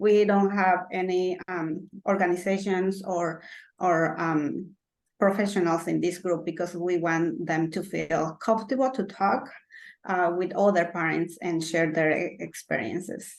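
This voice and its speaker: With a Spanish accent, a woman speaks at a fairly slow pace. Her pitch is fairly low, and her intonation stays fairly even. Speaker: parent support group organizer. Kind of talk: presentation. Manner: halting.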